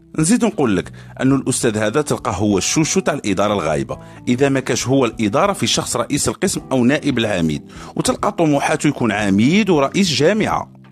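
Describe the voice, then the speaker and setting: Over music in the background, a man with an Algerian accent speaks at a fairly quick pace and medium pitch, his loudness very even and his pitch swinging very widely. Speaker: university student podcaster. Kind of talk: satirical podcast monologue. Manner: casual, humorous.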